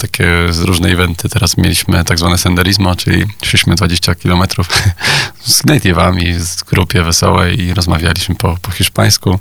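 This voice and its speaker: Over noticeable background noise, a man talks at a very fast pace. His voice is very deep and low, with fairly even intonation. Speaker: Spanish teacher and video maker. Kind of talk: radio interview.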